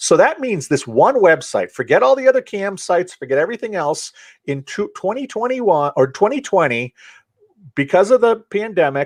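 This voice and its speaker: A man's high pitch with very wide pitch swings, at a moderate pace. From Central Maine, USA. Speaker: author and public speaker. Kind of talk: podcast interview answer.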